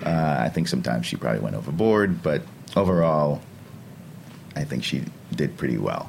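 Over noticeable background noise, a man with a very deep, low pitch talks at a fairly quick pace with lively intonation and long, frequent pauses. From St. Vincent and the Grenadines. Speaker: chef and restaurant owner. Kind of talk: interview. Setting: studio.

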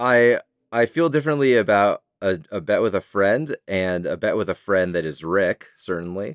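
A plain, everyday voice from a man, fairly low-pitched, with lively intonation at a moderate pace and a dry, close sound with no echo. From Canada. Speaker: litigant in a mock court comedy show. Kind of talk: casual comedic testimony.

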